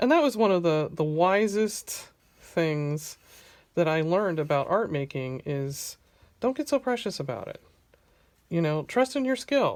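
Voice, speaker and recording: A woman speaks at a fairly slow pace, her pitch swinging very widely. The recording is very clean with a silent background. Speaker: artist. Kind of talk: tutorial. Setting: home studio, camera close overhead. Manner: chatty.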